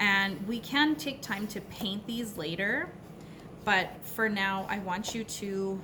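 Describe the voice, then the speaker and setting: A woman's very slow speech at medium pitch and with fairly even intonation, with audible room echo and noticeable background noise. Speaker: elementary school teacher. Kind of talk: tutorial.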